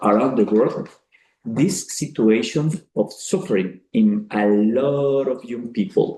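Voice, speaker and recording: The voice has a dark, mellow tone and very wide pitch swings. It moves at a very slow pace. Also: man. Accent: Colombian. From Colombia (Cali). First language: Spanish. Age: 40s. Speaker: priest. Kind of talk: speech to an audience. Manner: halting, with frequent fillers.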